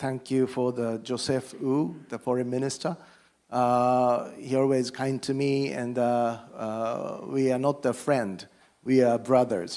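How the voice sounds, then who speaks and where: A man speaks with a Japanese accent at medium pitch and a very slow pace. His tone is dark and mellow, his intonation fairly even. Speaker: politician. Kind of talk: panel remarks. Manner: halting.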